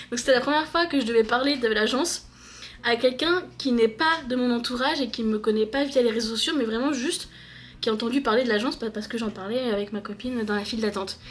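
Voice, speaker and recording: A woman speaks very fast in a high pitch, with ordinary pitch variation. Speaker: book vlogger. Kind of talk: casual vlog talk. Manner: hesitant, many fillers; loud when passionate.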